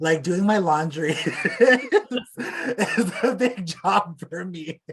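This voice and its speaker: A man speaks at a very slow pace in a high pitch. His loudness swings widely. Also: lively intonation. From Alberta, Canada (Plains Cree). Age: 20s. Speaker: beadwork artist. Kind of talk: casual chat.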